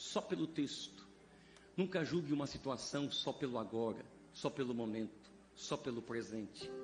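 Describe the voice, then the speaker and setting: A man speaks at a fairly slow pace with a fairly high pitch. His somewhat breathy voice has lively intonation. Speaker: pastor and preacher. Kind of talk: sermon. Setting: church vigil with congregation.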